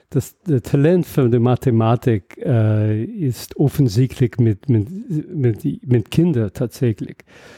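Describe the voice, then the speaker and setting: A man's somewhat breathy voice with a dark, mellow tone, medium pitch, ordinary pitch variation and an English accent, at a very slow pace, in a dry, close sound with no echo. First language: English (speaking German). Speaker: mathematics professor. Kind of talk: interview. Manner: halting.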